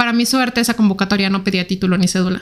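The speaker is a woman, going at a very fast tempo. Her pitch moves in an ordinary way. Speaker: ballistics expert. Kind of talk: interview. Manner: fast and quiet.

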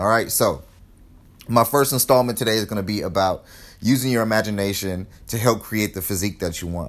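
Speaking with an American accent, a man delivers his words in an energetic tone at a fairly quick pace, his fairly low pitch showing ordinary variation. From California, Los Angeles. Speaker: fitness podcaster. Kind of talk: motivational solo podcast. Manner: casual, energetic.

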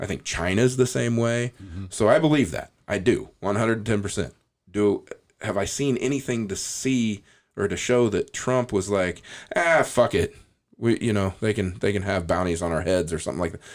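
Recorded very cleanly with a silent background, a plain, everyday voice in an American accent moves at a moderate pace with ordinary pitch variation. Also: man, fairly low pitch for a man. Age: 40s. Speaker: podcast host. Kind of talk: casual chat.

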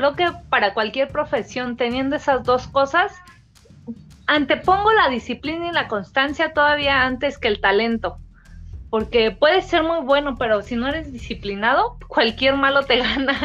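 This woman has a high-pitched voice with lively intonation. She talks at a fairly slow pace. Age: 30s. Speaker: professional boxer. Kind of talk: interview. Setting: at home. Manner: halting, many repetitions and fillers.

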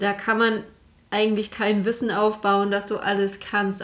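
Flat, monotone intonation from a woman at a medium pitch and a moderate pace. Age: 20s. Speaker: IT consultant, career changer. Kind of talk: casual chat.

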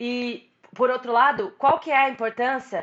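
A woman's high voice comes at a moderate pace. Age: 20s. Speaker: podcast host. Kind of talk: casual chat.

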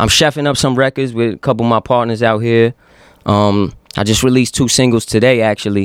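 Fairly quick, fairly even speech in a New York accent, very even in loudness, dry and close with no echo. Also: man, medium pitch for a man. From Yonkers, New York. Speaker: rapper. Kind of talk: casual chat. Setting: studio.

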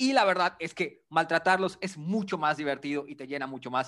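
In a Yucatecan accent, a man speaks at a moderate pace with ordinary pitch variation. The recording is very clean, with a silent background. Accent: Yucatecan Mexican Spanish. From Yucatán, Mexico. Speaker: podcast co-host. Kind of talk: casual political debate.

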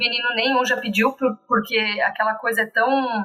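A woman speaks at a fairly slow pace and a fairly high pitch. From Brazil, Santa Catarina (Blumenau). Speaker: preschool teacher. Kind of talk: podcast interview.

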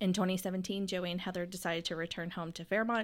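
A woman with an Appalachian accent speaks at medium pitch with fairly even intonation on a very clean recording with a silent background. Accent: West Virginia (Appalachian) American. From West Virginia, Pendleton County. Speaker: podcast host, city planning employee. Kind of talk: casual interview; reading introductions.

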